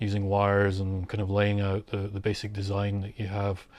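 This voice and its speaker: A man with a Scottish accent speaks at a fairly quick pace in a fairly low voice on a very clean recording with a silent background. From Scotland, Glasgow. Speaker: synth module maker. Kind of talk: documentary interview. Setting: home studio. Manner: casual, hesitant with many fillers.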